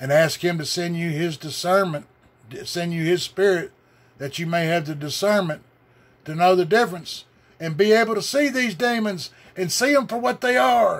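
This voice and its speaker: A man with a Southern US accent speaks at a high pitch and a moderate pace. His intonation is lively, with long, frequent pauses. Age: 60s. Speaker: religious video blogger. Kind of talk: rant. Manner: animated.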